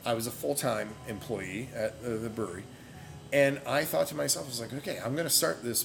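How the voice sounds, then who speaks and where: With music in the background, a man with an American accent speaks at a moderate pace and medium pitch, his intonation lively. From New York. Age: 40s. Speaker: brewing instructor and military veteran. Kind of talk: casual interview. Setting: bottle shop.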